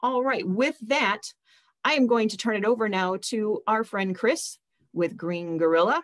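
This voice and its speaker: Against a quiet background, a woman with an American accent speaks fairly slowly with lively intonation. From US Midwest. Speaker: nonprofit webinar host. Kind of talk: webinar hosting. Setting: video call. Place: home room. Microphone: video call.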